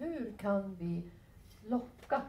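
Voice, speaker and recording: A woman is heard with audible room echo and light background noise. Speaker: physician and professor; professor. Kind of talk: lecture. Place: meeting room. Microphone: headset.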